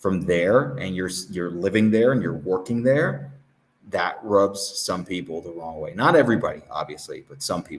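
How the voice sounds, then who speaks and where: Lively intonation in a Southern California accent, at a moderate pace, with big swings in loudness. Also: man, very deep, low pitch for a man. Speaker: interview guest, English teacher. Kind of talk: casual interview chat. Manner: casual, filler-heavy.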